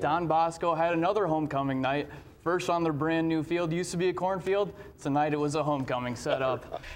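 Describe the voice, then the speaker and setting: A man's fairly quick, high-pitched speech over noticeable background noise. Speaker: sports anchor and reporter. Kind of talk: sports reporting montage.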